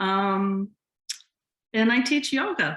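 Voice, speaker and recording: A woman with a Boston accent has a bright, sharp tone and ordinary pitch variation. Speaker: yoga teacher. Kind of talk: interview. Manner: hesitant, many ums.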